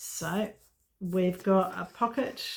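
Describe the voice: Slow and fairly even in intonation, a woman speaks with a fairly low pitch and vocal fry.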